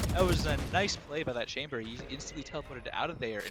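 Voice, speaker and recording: Background noise is noticeable throughout. Over it, a man speaks at a fairly quick pace. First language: not English. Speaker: esports caster. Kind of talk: live commentary. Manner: animated.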